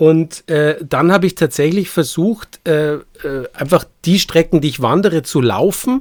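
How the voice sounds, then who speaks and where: A man with a Bavarian accent at a moderate pace, lively in intonation, with a dry, close sound and no echo. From Bavaria, Munich. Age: 50s. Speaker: landscape painter. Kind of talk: casual chat.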